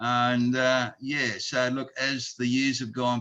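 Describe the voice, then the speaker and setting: A man with an Australian accent talks at a fairly slow pace and a medium pitch. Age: 70s. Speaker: charity president and retired plumber. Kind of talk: interview.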